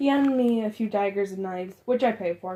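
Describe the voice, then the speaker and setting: Mumbling at a fairly quick pace, the speaker has a dark, mellow tone and ordinary pitch variation. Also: woman. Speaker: amateur fiction writer reading own story. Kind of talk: read story.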